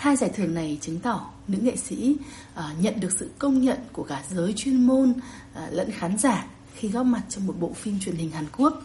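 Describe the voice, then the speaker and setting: Noticeable background noise sits behind a woman at a medium pitch. She talks at a moderate pace with very wide pitch swings. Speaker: journalist. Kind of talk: news report. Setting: remote connection.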